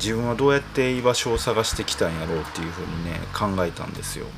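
A man at a fairly quick pace with ordinary pitch variation, plus audible room echo and noticeable background noise. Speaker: singer-songwriter podcast host. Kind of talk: solo casual monologue. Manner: calm, cool bar-master delivery.

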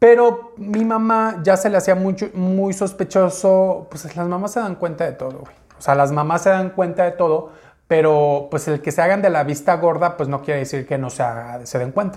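A man's high voice at a moderate pace. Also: ordinary pitch variation. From Mexico, Uruapan, Michoacán. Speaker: YouTuber. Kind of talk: personal story monologue. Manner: casual, conversational.

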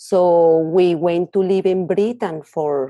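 A woman with a Colombian accent, fairly low in pitch, with a dark, mellow tone, at a very slow pace, dry and close with no echo, over a quiet background. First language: Spanish. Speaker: author and counselor. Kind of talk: interview.

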